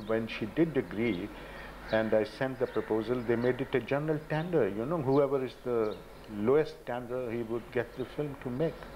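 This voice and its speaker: Light background noise accompanies a voice with ordinary pitch variation. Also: man. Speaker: documentary filmmaker. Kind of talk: interview. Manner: halting. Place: home room.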